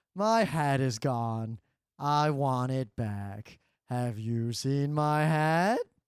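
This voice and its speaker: Very slowly, a man talks in a put-on character voice at a medium pitch. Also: very clean recording, silent background. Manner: plaintive, searching.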